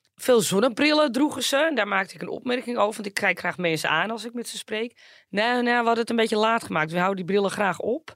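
A woman talks at a very fast pace with hardly any pauses. Her fairly high pitch carries lively intonation. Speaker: podcast co-host. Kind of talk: casual chat.

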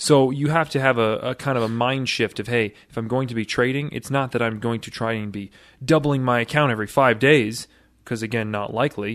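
In a quiet background, a man talks fairly quickly at a medium pitch with fairly even intonation. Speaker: co-host, trading educator. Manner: agreeable, backchanneling.

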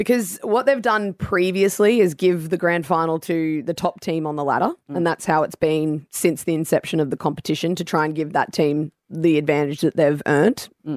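With an Australian accent, a woman speaks at a moderate pace and fairly low pitch with ordinary pitch variation and hardly any pauses, in a very clean recording with a silent background and a dry, close sound with no echo. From Brisbane, Australia. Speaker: former AFLW footballer and commentator. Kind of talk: casual radio interview.

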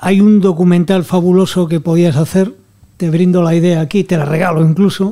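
A man speaks at a moderate pace with a high pitch and very even loudness. His intonation stays monotone and flat. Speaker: newspaper deputy editor. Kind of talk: panel discussion.

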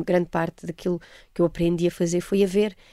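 Her pitch sits fairly low. This woman keeps her speech at a moderate pace. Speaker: actress and voice narrator. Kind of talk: interview. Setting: radio studio. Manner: hesitant, many fillers.

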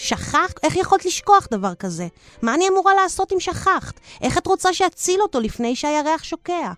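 Using a put-on character voice, a woman hisses in a furious tone with extremely high pitch and lively intonation, the sound dry and close with no echo. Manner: hissed through teeth, furious.

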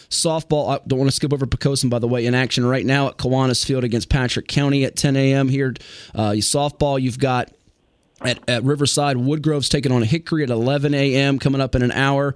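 On a very clean recording with a silent background, a man of medium pitch talks at a fairly quick pace in an ordinary speaking voice. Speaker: radio host. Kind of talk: live sports radio commentary, rattling off game scores. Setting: radio studio. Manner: brisk, upbeat play-by-play style, quick score updates.

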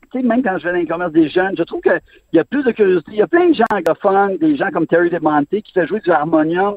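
A man with a high voice talks at a very fast pace, his pitch moving in an ordinary way. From Montreal. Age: 50s. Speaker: sports columnist. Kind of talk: radio interview.

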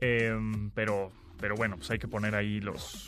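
Speaking at a moderate pace with a Mexican accent, a man comes through on a very clean recording with a silent background. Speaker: radio host. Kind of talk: radio tech talk show. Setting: radio studio.

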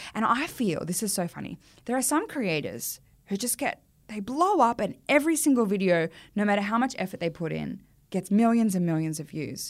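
Speaking fairly quickly in an Australian accent, a woman with a medium-pitched voice sounds animated, her pitch swinging very widely over a very clean recording with a silent background. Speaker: comedy content creator and actor. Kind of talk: casual chat.

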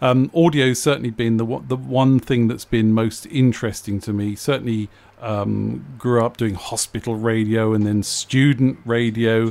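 A man's normal speaking voice, medium in pitch, at a moderate pace with fairly even intonation. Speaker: radio producer. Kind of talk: radio chat about audiobooks.

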